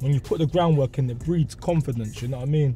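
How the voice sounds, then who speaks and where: A man speaks with ordinary pitch variation. The sound is dry with no echo, and clear music plays in the background. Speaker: show host. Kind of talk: casual interview answer. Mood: earnest, motivational. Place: car.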